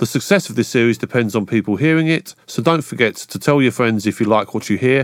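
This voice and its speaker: A man speaks in a plain, everyday voice at medium pitch, with ordinary pitch variation. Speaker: podcast host. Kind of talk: interview, host intro.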